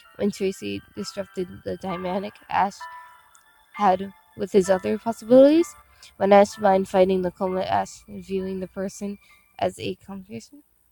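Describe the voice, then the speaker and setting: Music plays behind the speaker. A woman talks at a moderate pace. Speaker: amateur creepypasta reader. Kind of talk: creepypasta reading.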